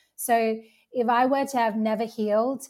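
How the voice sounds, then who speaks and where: A woman talks in a plain, everyday voice at a fairly high pitch. Her intonation is fairly even and her pace fairly slow. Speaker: healing practitioner. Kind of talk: roundtable conversation.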